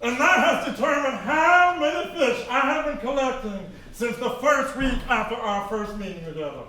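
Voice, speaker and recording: A high, put-on character voice at a moderate pace with clear echo. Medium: actual play. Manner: gushing, bubbly.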